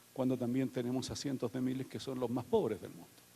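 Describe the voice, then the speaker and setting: This man's tone is dark and mellow. His pitch is medium. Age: 60s. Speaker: panelist at film screening. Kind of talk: public talk. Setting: auditorium with audience. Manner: hesitant, many fillers.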